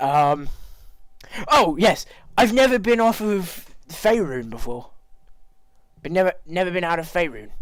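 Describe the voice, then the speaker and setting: A whiny put-on character voice at a middle pitch moves at a moderate pace with long, frequent pauses. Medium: actual play. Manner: nervous, whiny.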